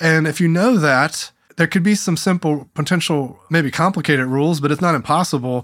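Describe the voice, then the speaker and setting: In a plain, everyday voice, a man speaks at a fairly quick pace with fairly high pitch and ordinary pitch variation. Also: very even loudness. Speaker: podcast host and meeting facilitator. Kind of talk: interview conversation.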